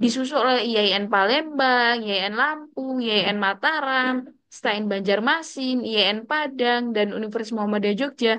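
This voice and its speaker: A woman talks in an ordinary speaking voice at a fairly quick pace with hardly any pauses. Her pitch is fairly high, with ordinary variation. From Indonesia. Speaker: Arabic language teacher. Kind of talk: lecture. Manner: casual, conversational.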